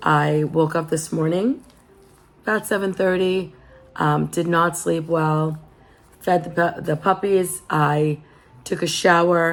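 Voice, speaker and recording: A woman with a fairly low pitch talks at a very slow pace, her loudness very even and intonation fairly even, leaving long, frequent pauses. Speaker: lifestyle vlogger. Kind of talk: casual chat. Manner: relaxed.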